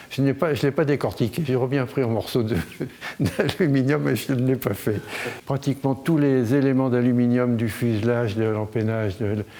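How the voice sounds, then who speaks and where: Over noticeable background noise, a man of medium pitch talks at a moderate pace, his pitch varying an ordinary amount and his loudness very even. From France, Limoges. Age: 80s+. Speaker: collector and donor. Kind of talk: interview.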